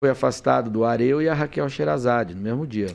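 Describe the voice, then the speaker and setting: A man at a moderate pace, with lively intonation. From Brazil, western São Paulo state. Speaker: politician, former journalist and TV commentator; politician, former journalist, TV commentator. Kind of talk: podcast interview. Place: studio. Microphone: studio mic.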